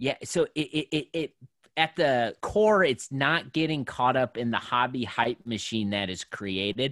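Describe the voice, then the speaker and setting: This is a man with a plain, everyday voice at medium pitch, speaking at a fairly slow pace with lively intonation. The recording is very clean with a silent background, and the sound is dry and close with no echo. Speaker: sports card collector and podcast host. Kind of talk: casual interview.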